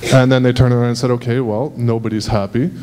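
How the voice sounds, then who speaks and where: A man's medium-pitched voice at a very fast pace, over noticeable background noise. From Montreal, Quebec. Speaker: audience member. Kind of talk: public comment at meeting. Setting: public meeting hall with audience.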